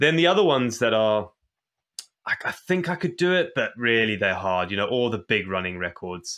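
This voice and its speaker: A man's medium-pitched voice at a moderate pace, with very wide pitch swings. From Zimbabwe. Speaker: endurance athlete. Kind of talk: interview.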